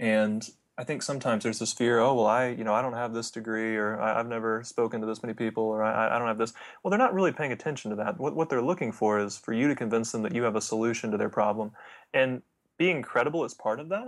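A man at medium pitch, at a very fast pace. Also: ordinary pitch variation. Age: 20s. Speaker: product launch consultant. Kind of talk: interview conversation.

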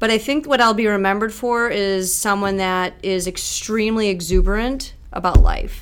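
With an American accent, a woman speaks at a fairly high pitch and a moderate pace, with hardly any pauses and ordinary pitch variation. Noticeable background noise and audible room echo fill the recording. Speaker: tech startup founder. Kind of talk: casual interview.

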